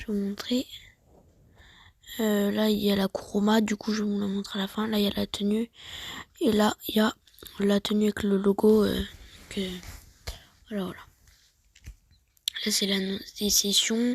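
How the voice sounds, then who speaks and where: The speaker talks at a fairly slow pace, leaving long, frequent pauses. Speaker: gaming youtuber. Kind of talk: screen-recorded tutorial. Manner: halting, many fillers.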